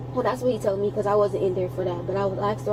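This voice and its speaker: Audible room echo and noticeable background noise fill the recording. A woman talks through it at a very fast pace. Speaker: witness, sibling of victim. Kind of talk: police witness statement. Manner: halting.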